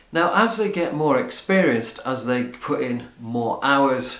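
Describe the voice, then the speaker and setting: In a room with audible echo but a quiet background, a man speaks at a very slow pace. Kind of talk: casual vlog chat. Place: home room. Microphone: camera far.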